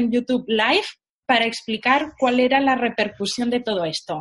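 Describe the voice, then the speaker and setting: High-pitched female speech with ordinary pitch variation, delivered at a moderate pace. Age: young. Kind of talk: interview. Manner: animated.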